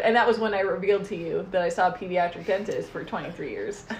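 A woman speaks at a very fast pace. Noticeable background noise runs underneath. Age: 20s. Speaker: podcast co-host. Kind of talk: casual chat. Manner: animated.

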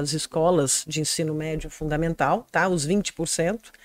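Her voice sits fairly low for a woman. The sound is dry and close, with no echo. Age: 50s. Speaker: political candidate. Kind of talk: interview. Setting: studio.

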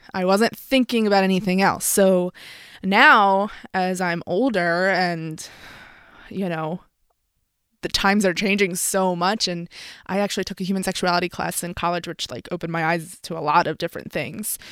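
With an American accent, the speaker keeps a moderate pace and ordinary pitch variation on a very clean recording with a silent background. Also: woman, medium pitch for a woman. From Philadelphia, US. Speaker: boudoir photographer. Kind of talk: casual interview chat. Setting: studio.

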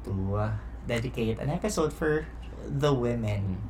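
A man speaks at a fairly slow pace. Room echo is audible around his voice. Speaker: podcast host. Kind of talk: casual chat.

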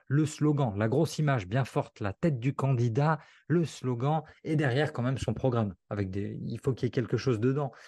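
A man's medium-pitched voice, dark and mellow and somewhat breathy, with ordinary pitch variation at a moderate pace, dry and close with no echo over a quiet background. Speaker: copywriter and author. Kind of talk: casual interview. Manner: fluid, natural delivery.

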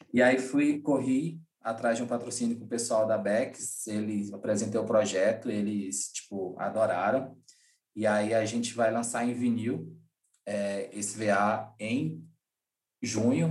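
At a fairly slow pace and a medium pitch, a man speaks in a room with audible echo. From Brazilian Northeast, Rio Grande do Norte. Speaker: event producer and music booker. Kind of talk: casual interview.

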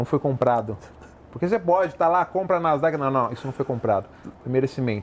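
This man's pitch sits fairly high for a man. His intonation is lively. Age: 30s. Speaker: lawyer and entrepreneur. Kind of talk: interview. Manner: animated.

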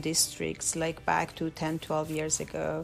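A woman speaks with a Persian accent. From Iran. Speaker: special education aide. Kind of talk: interview. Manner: halting.

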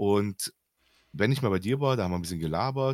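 Very wide pitch swings mark this man's speech. The background is silent and the recording very clean. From Germany. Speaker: podcast co-host, gamer. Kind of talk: casual chat.

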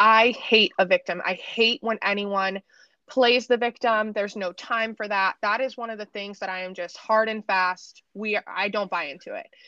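A woman speaks at a moderate pace in a medium pitch, her bright, sharp tone recorded dry and close with no echo and her intonation fairly even.

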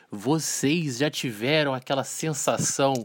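A normal speaking voice with ordinary pitch variation moves at a fairly slow pace. The recording is very clean, with a silent background. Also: man. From Volta Redonda, interior of Rio de Janeiro state, Brazil. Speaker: teacher, podcast host. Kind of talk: casual chat. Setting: studio.

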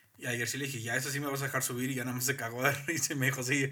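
A man talks at a very fast pace in a medium pitch with a bright, sharp tone. His intonation stays monotone and flat. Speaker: podcast co-host. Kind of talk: casual chat. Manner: loud.

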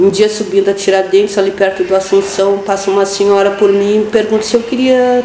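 Noticeable background noise and audible room echo surround the speaker. A woman talks with ordinary pitch variation. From Pelotas, Rio Grande do Sul, Brazil. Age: 50s. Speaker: education worker and union activist. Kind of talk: radio interview.

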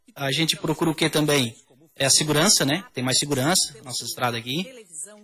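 The speech moves at a moderate pace with ordinary pitch variation, and noticeable background noise runs underneath. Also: man. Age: 30s. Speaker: auto electrician and amateur cyclist. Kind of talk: casual radio interview.

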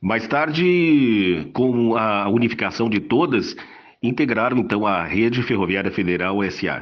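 Audible room echo surrounds a man speaking at a fairly slow pace, his medium-pitched voice full of lively intonation. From Santa Maria, Rio Grande do Sul, Brazil. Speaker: retired train driver. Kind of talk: panel discussion. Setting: remote call.

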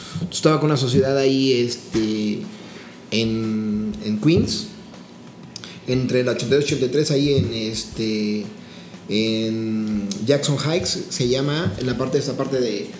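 With noticeable background noise and audible room echo, a man speaks very slowly at a medium pitch with ordinary pitch variation. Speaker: chef. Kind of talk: casual chat. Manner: animated.

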